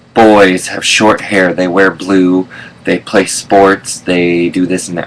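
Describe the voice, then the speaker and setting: Behind a man's voice there is noticeable background noise. His pitch is very deep and low. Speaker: vlogger. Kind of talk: casual vlog monologue. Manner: hesitant, many fillers.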